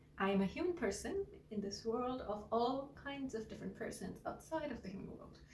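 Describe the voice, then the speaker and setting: Fairly quick speech from a woman, with audible room echo and noticeable background noise. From India. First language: Gujarati. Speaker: singer-songwriter and artist. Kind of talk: personal introduction vlog. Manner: halting, repeats words.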